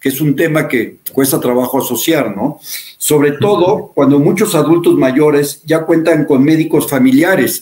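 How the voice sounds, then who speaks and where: At a fairly slow pace, a man with a fairly high pitch talks with ordinary pitch variation and very even loudness. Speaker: show host and care company director. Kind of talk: interview. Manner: halting.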